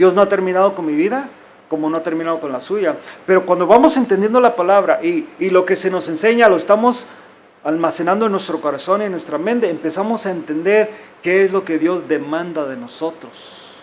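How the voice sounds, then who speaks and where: Amid noticeable background noise and audible room echo, a man talks at a high pitch. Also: ordinary pitch variation, fairly quick pace. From US, Mexican-American (California). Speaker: pastor. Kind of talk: sermon. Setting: church.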